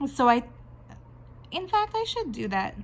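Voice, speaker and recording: Speaking with a Canadian accent, a woman sounds somewhat breathy. Her pace is moderate. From Canada. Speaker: artist and video blogger. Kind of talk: casual talk while drawing. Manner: conversational, with fillers and restarts.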